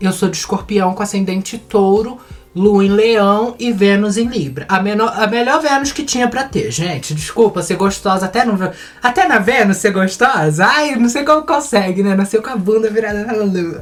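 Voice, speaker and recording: A woman at a medium pitch with lively intonation and a moderate pace, over noticeable background noise. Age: 20s. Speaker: beauty vlogger. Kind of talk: casual chat. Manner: animated.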